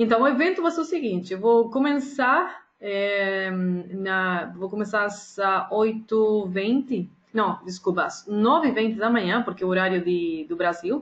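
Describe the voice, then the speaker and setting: A woman with a Spanish accent speaks at a fairly slow pace, with lively intonation at a medium pitch. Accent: Spanish-accented Portuguese (portunhol). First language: Spanish (speaking Portuguese). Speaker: day trader and trading educator. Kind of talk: casual announcement to viewers. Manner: halting, with fillers and self-corrections.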